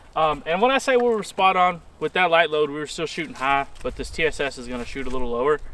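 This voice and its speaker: A loud man at a very fast pace, fairly high in pitch with a bright, sharp tone, lively intonation and hardly any pauses. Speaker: hunter. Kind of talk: casual chat.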